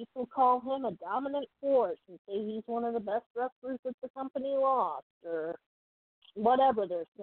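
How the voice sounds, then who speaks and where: A woman uses a normal speaking voice with lively intonation. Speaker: podcast co-host. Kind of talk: casual chat.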